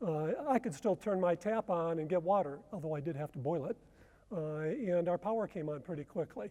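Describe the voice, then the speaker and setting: An American-accented man speaks at a high pitch in a dark, mellow tone. He talks fairly quickly with ordinary pitch variation. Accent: American, noticeable. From US Midwest, Detroit. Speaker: researcher and conference speaker. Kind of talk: conference presentation.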